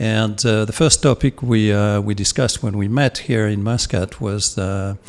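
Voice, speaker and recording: A man's fairly low voice in a French accent, moderate in pace and fairly even in intonation. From France. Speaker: podcast host. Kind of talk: interview. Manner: halting.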